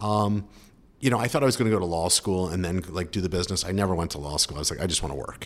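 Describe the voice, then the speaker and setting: A man with a Philadelphia accent speaks very fast in a very deep, low voice, his pitch varying in an ordinary way. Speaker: sports team co-owner and entrepreneur. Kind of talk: casual interview.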